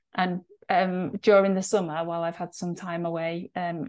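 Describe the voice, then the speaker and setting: Keeping her intonation fairly even, a woman with a fairly low voice speaks at a fairly slow pace. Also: quiet background. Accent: northwest English. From northwest England. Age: 40s. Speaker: nutritionist and podcast co-host. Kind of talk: casual chat.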